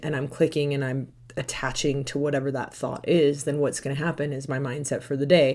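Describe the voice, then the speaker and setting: A woman speaks at a very fast pace with a very deep, low pitch. Her tone is dark and mellow. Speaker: mindset coach. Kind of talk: interview.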